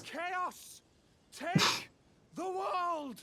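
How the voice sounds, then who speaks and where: A put-on character voice shouts at an extremely high pitch. The tone is dramatic. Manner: yelling, dramatic.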